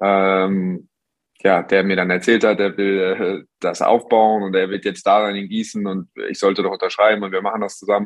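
With a fairly low pitch, the man talks in a flat monotone. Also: moderate pace. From Germany, Hagen (Westphalia). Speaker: professional basketball player. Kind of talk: interview.

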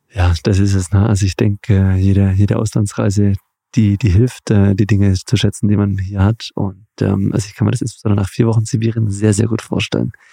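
A man speaks at a fairly quick pace in a fairly low pitch. His tone is dark and mellow and somewhat breathy. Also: dry, close sound with no echo. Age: 30s. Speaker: podcast host. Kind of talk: interview. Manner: animated.

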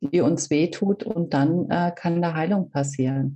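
At a fairly slow pace, the speaker uses ordinary pitch variation. The tone is dark and mellow, and somewhat breathy. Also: woman. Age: 40s. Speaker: reiki practitioner and coach. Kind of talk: interview. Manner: hesitant, many fillers.

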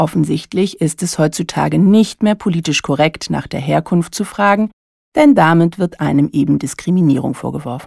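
Moderate-paced speech from a woman, in a very clean recording with a silent background. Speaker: coach and podcast host. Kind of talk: solo monologue podcast.

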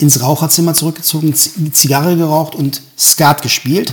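A man talks at a moderate pace in a plain, everyday voice. His pitch is fairly high and his intonation fairly even. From Germany, Göttingen area (Lower Saxony). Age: 50s. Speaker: musician and a cappella singer. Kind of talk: casual interview.

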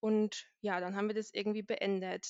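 At a moderate pace, a woman speaks in a plain, everyday voice pitched fairly high. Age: 20s. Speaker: IT consultant, podcast guest. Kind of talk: casual chat.

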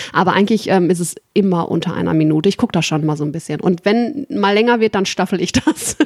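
Speaking very fast, this woman keeps her intonation lively. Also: medium pitch for a woman. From Ruhr area, Germany. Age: 30s. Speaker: customer service worker, dating podcast guest. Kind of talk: casual chat.

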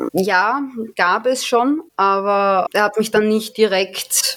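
A woman's voice over noticeable background noise. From Austria, Vienna. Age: 20s. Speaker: amateur adult performer. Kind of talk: interview.

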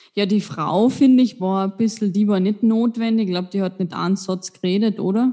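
A woman with a dark, mellow tone talks at a fairly quick pace and medium pitch, with fairly even intonation and hardly any pauses. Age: 20s. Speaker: podcast co-host. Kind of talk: casual chat.

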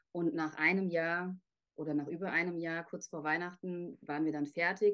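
The woman has a normal speaking voice, a fairly low pitch and a moderate pace. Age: 30s. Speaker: author. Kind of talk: interview.

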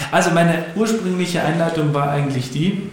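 A man talks at a moderate pace with ordinary pitch variation. The recording has audible room echo and noticeable background noise. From Upper Bavaria, Germany. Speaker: podcast host. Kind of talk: casual interview. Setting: studio, guest sitting opposite.

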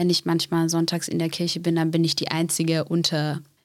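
Fairly low female voice, neither rushed nor slow. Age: 20s. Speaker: school and youth social worker. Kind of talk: casual interview.

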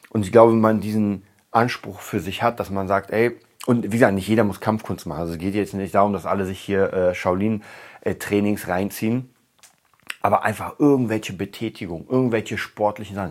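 A man talks in an ordinary speaking voice, fairly low in pitch, at a fairly quick pace with fairly even intonation. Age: 30s. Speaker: podcast host for musicians. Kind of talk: solo monologue podcast. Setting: home studio room.

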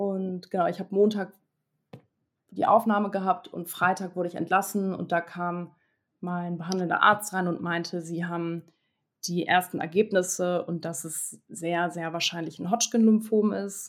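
Her intonation monotone and flat, a woman talks in a fairly low voice. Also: moderate pace. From Hamburg, northern Germany. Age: 20s. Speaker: cancer survivor. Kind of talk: interview testimony.

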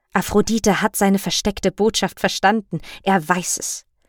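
The voice comes at a fairly slow pace with a dramatic tone, in a very clean recording with a silent background and a dry, close sound with no echo. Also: woman. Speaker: podcast host and storyteller. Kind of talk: mythic retelling narration, scripted storytelling. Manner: vivid, dramatic, measured storytelling pace; wry, cheeky asides to listeners.

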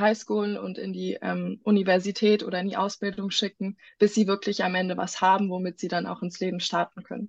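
A woman speaks at a moderate pace and a medium pitch in a monotone, flat intonation, with a dry, close sound, no echo and a quiet background. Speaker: medical student running a charity for children in Ghana. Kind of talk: casual interview.

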